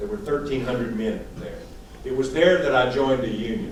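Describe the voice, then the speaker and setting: A man's lively voice with a Southern US accent, with audible room echo and noticeable background noise. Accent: southern drawl. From East Texas. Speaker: political strategist. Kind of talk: conference talk.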